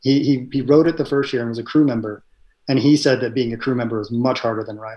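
A man at medium pitch, very fast, with fairly even intonation. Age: 40s. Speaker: endurance cyclist and software engineer. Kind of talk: casual interview. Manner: hesitant, many fillers.

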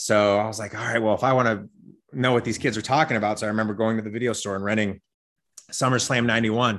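At a very fast pace, a man speaks with an American accent and a medium pitch, in a very clean recording with a silent background. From Las Vegas, Nevada, US. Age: 40s. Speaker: sports event announcer and fitness coach. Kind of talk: casual chat. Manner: animated.

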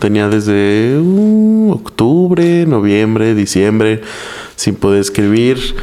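A man talks very slowly, his pitch varying in an ordinary way, with noticeable background noise around him. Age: 20s. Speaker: stand-up comedian. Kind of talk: casual chat.

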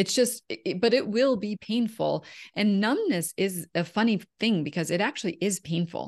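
A woman's medium-pitched, ordinary speaking voice with lively intonation at a moderate pace, dry and close with no echo over a quiet background. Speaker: women's empowerment coach. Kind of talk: casual interview chat.

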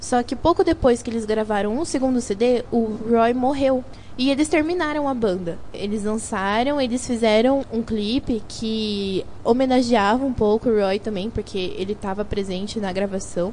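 Over noticeable background noise, a woman with a fairly high pitch and ordinary pitch variation talks at a moderate pace with hardly any pauses. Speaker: student radio host. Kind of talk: scripted intro segments mixed with casual chat.

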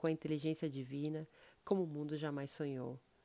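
A woman's very deep, low-pitched voice has a dark, mellow tone, captured in a very clean recording with a silent background. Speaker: podcast host. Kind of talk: scripted narration.

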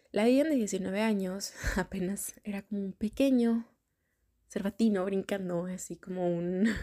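With a dark, mellow tone, a woman speaks at a medium pitch and fairly slow pace with ordinary pitch variation, in a dry, close sound with no echo. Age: 30s. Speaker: podcast host. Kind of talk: personal reflective monologue. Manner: casual, filler-heavy.

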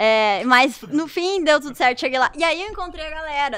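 Fairly quick and lively in intonation, a woman speaks at a high pitch with a bright, sharp tone. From Santa Rosa, Rio Grande do Sul, Brazil. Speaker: professional dancer. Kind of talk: casual chat.

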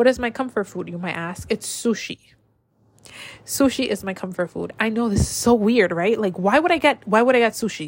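A woman talks at a fairly high pitch with lively intonation. Her voice is somewhat breathy. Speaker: podcast host. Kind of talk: casual solo chat. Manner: self-conscious, rambling.

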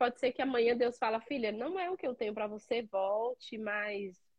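Her intonation is lively as a woman speaks at a fairly slow pace and a fairly high pitch. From Minas Gerais, Brazil (Padre Paraíso / Caraí). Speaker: cleaning business owner. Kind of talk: live-stream interview.

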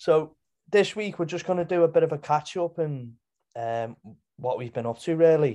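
This man has a normal speaking voice with a fairly high pitch. He keeps a moderate pace and ordinary pitch variation. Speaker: podcast co-host. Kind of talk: casual chat. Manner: casual, chatty.

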